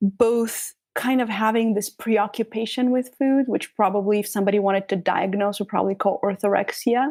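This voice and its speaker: Music plays in the background as a woman with a Bulgarian accent talks fairly quickly with hardly any pauses, her fairly high voice held to a fairly even intonation. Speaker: trauma practitioner and author. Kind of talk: interview.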